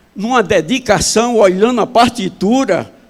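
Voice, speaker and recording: This is a man speaking at a fairly slow pace. His pitch variation is ordinary. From Pernambuco, northeast Brazil. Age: 70s. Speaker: pastor. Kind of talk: sermon. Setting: church. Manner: loud.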